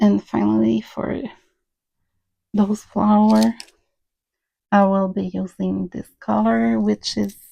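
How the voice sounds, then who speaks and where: Pausing long and often, a woman with a French Canadian accent speaks at a very slow pace. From French Canada. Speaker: crafter, cross stitcher. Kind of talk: casual talk to camera.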